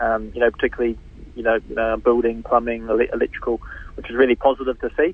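Speaking very fast, a man uses a New Zealand accent. His loudness swings a lot. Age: 40s. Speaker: politician. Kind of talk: radio interview. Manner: halting, many fillers and repeats.

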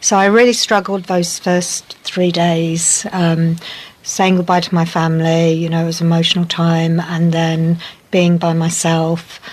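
Against noticeable background noise, a woman with a fairly low pitch speaks at a fairly slow pace, her intonation monotone and flat and her loudness very even. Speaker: medical professional, interviewee. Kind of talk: casual interview. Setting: outdoors on a deck, recorded earlier.

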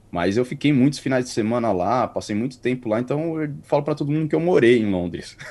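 A man's dark, mellow voice at medium pitch, very fast with hardly any pauses and lively intonation. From Brazil, São Paulo area (Carapicuíba). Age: 30s. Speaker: podcast co-host, interview guest. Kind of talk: interview, casual chat.

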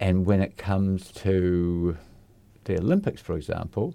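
A man speaks fairly slowly with a New Zealand accent, his pitch fairly low and his tone dark and mellow. The recording is very clean, with a silent background. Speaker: community radio host. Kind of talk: casual chat. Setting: studio.

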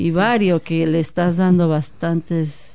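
Her tone dark and mellow, a woman speaks at a moderate pace in a fairly low pitch with ordinary pitch variation. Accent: Mexican. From Mexico, Guadalajara. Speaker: former community group chair. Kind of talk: radio interview.

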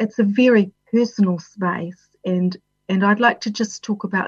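With a New Zealand accent, a woman speaks somewhat breathily at a fairly slow pace, her intonation fairly even. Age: 50s. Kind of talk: personal talk on well-being.

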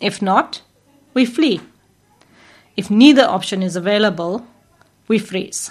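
Against a quiet background, a woman with a somewhat breathy voice at medium pitch speaks at a fairly slow pace with ordinary pitch variation and long, frequent pauses. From South Africa. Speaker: clinical psychologist and radio host. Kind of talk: educational talk. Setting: community radio studio.

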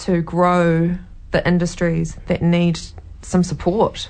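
A woman speaks in a New Zealand accent with a fairly low pitch. She goes at a fairly slow pace. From New Zealand (Taranaki). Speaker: local election candidate. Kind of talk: interview.

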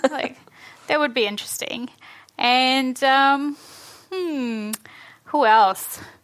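Speech comes at a very slow pace with long, frequent pauses. The speaker has a New Zealand accent. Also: woman, high pitch for a woman, ordinary pitch variation. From New Zealand, born in Fiji. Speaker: author. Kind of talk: festival panel conversation. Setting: stage with audience.

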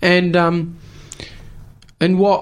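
A man is speaking. He has a New Zealand accent. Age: young. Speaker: youth radio host. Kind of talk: radio interview.

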